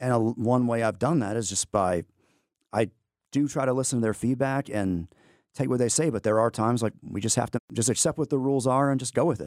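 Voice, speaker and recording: Talking very fast with an American accent, a man keeps a medium pitch and ordinary pitch variation. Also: very clean recording, silent background. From Texas, Amarillo. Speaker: history teacher and navy veteran. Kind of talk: interview. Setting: studio.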